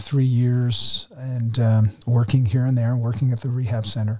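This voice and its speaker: With an American accent, a man delivers an unremarkable speaking voice at a moderate pace, his medium pitch held in fairly even intonation. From New Jersey, US. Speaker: former ministry director and guest lecturer. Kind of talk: testimony.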